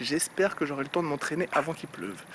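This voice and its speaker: Pitched fairly high, a man talks fairly quickly with ordinary pitch variation while noticeable background noise plays. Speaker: fitness vlogger. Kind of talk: casual vlog talk. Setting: outdoors. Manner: fast.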